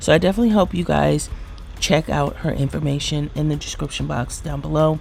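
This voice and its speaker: Noticeable background noise sits behind this woman. She speaks quietly at a fairly quick pace. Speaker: beauty vlogger. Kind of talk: product review vlog. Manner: quiet, low-voiced; animated.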